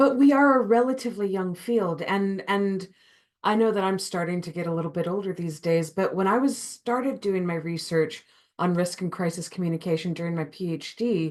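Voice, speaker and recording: A woman talks at a fairly quick pace with an American accent. She has a plain, everyday voice at a medium pitch with ordinary pitch variation. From United States. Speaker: academic researcher. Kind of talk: conference keynote. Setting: online conference.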